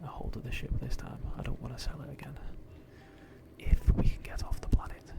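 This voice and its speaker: The speaker whispers at a moderate pace. Background noise is noticeable. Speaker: gaming video creator. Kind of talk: whispered gameplay commentary. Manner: whispering; soft-spoken.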